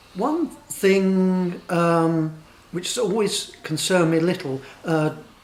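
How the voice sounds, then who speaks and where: Noticeable background noise runs under a man's voice. His intonation is fairly even. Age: 60s. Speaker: interviewee. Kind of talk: vox pop interview.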